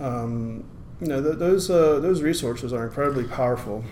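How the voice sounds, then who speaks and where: An American-accented man at a moderate pace, with audible room echo. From US, Maryland. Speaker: program manager at a nonprofit employing blind people. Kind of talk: podcast interview.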